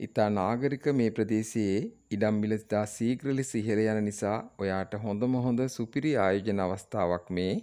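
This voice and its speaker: At a very slow pace, a man speaks in a fairly low, dark, mellow voice, with very even loudness and fairly even intonation. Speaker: real estate video presenter. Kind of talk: sales pitch. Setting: on location at the property.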